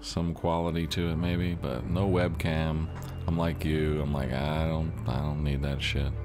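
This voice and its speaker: A man with a very deep, low pitch at a fairly slow pace, with fairly even intonation and very even loudness, music in the background and audible room echo. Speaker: video game streamer. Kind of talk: live gameplay stream chat. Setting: home streaming setup, no webcam. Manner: sometimes mumbles and gets quiet; casual, loose.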